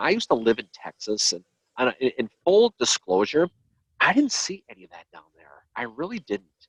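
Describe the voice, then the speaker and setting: With a Boston accent, a man talks at a fairly quick pace. His pitch swings very widely, and the sound is dry and close with no echo. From Boston, Massachusetts. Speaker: history podcast host. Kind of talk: casual chat. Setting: live video stream.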